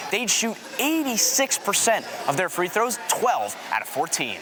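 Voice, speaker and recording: Over background music, a man talks at a fairly quick pace in an energetic, upbeat tone with lively intonation. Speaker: sports broadcaster, on-air journalist. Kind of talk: local sports news anchor segment.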